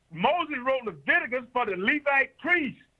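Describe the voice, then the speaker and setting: A man speaks in an extremely high pitch with a bright, sharp tone. His voice is raised and projected, with lively intonation. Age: 70s. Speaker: health and wellness doctor. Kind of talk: radio interview. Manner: repetitive, stammering restarts.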